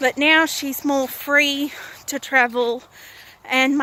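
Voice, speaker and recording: With an Australian accent, a woman speaks at a fairly slow pace in a raised, projected voice. Her pitch is high and her intonation monotone and flat. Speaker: vlogger. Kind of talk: casual vlog monologue. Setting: outdoors, walking. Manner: loud.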